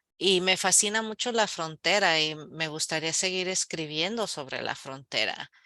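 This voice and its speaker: A woman with a fairly low pitch and a bright, sharp tone talks at a fairly slow pace. She barely pauses, and her pitch varies in an ordinary way. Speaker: novelist. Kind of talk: book club Q&A. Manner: halting, with fillers and restarts.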